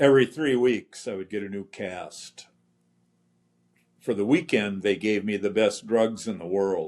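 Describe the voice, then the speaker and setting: A man in an Upper Midwest accent, fairly low in pitch with ordinary pitch variation, in a very clean recording over a silent background. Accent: Upper Midwest American. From central Minnesota. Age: 80s+. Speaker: polio survivor. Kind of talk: testimony.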